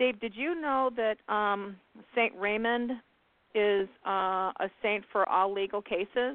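Very slow speech from a woman with a fairly high pitch and ordinary pitch variation. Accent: American. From US Midwest, Indiana. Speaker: psychic radio host. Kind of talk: call-in radio show.

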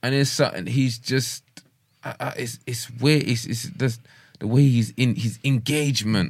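With a somewhat breathy, medium-pitched voice and ordinary pitch variation, a man talks at a moderate pace. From London. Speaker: boxer and rapper. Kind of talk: casual interview.

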